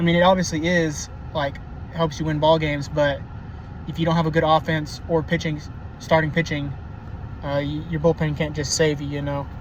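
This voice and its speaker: A man with an American accent speaks fairly quickly at a fairly high pitch in a monotone, flat way, with long, frequent pauses. Noticeable background noise and audible room echo run through the clip. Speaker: baseball commentator. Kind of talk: casual monologue. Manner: halting, many fillers.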